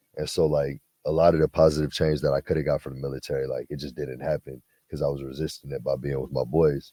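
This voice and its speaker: A man with an American accent at a very fast pace, in a dry, close sound with no echo. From Southern California (Twentynine Palms). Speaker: former Marine, basketball player. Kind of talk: casual interview. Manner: relaxed, lots of fillers.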